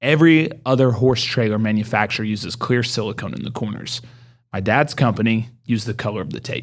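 A man with an American accent at a fairly quick pace, medium pitch and ordinary pitch variation, a plain, everyday voice. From Oklahoma, Mustang. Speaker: home builder. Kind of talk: casual interview.

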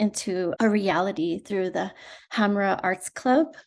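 A woman in an unremarkable speaking voice with an American accent, medium pitch, ordinary pitch variation and a fairly slow pace, over a quiet background. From rural southern Arizona. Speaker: podcast host. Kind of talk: interview.

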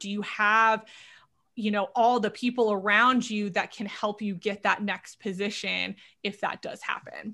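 Against a quiet background, a woman with an American accent speaks at a fairly slow pace. Her fairly high voice has a bright, sharp tone and fairly even intonation. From Southern California. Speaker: career coach. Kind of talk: interview.

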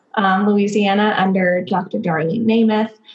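A woman talks at a medium pitch with an American accent. Background noise is noticeable. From Texas, Dallas. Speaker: doctoral student in clinical psychology. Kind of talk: podcast interview.

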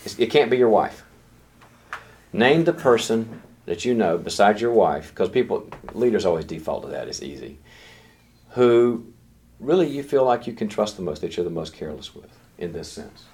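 At a moderate pace, the speaker uses vocal fry, very wide pitch swings, big swings in loudness and long, frequent pauses. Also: man, medium pitch for a man. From US South. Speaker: leadership teacher. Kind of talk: lecture.

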